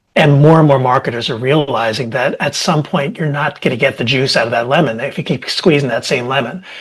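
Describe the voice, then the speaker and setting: A man's somewhat breathy voice at a fairly quick pace, with ordinary pitch variation. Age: 60s. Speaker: marketing executive. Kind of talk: podcast panel discussion.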